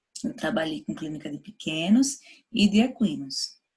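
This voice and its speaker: A woman speaks with a northeastern Brazilian accent. Her intonation is lively. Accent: northeastern Brazilian (Sergipe). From Sergipe, northeastern Brazil. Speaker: university professor of veterinary anesthesiology. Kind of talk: lecture. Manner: casual, conversational.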